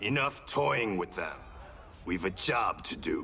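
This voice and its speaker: Over clear background noise, a man does a put-on character voice at a fairly slow pace. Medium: video game. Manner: wry, confident.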